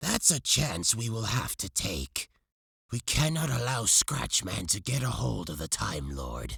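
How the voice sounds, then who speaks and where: A man's put-on character voice at a medium pitch, delivered at a fairly slow pace. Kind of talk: read story. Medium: read story.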